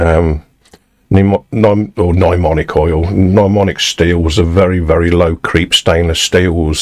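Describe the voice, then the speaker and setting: A man with an English accent, very deep and low in pitch, at a fairly slow pace. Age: 60s. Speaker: musician live-streaming from home studio. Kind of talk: casual chat. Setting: home studio live stream. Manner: halting, with frequent fillers.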